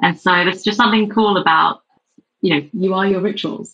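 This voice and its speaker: Ordinary pitch variation and a moderate pace, in an English accent. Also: woman. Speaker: beverage company co-founder. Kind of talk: interview. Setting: remote call.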